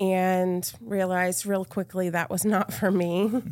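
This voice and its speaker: In an American accent, a woman with a plain, everyday voice speaks at a moderate pace on a very clean recording with a silent background. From Massachusetts (Cape Cod, near Boston). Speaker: real estate agent. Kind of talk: casual interview. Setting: studio.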